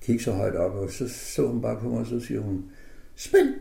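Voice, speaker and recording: Carrying vocal fry and a dark, mellow tone, a man speaks at a medium pitch and moderate pace amid audible room echo. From northern Jutland, Denmark. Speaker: concert pianist. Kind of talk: radio interview. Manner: hesitant with fillers.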